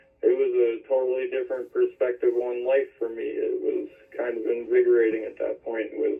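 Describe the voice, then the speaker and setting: Speaking in an American accent, a man talks at a fairly quick pace with music in the background. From Pennsylvania (Reading, near Philadelphia, then rural Kempton). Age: 30s. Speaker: hunter sharing life story. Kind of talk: podcast interview, personal story.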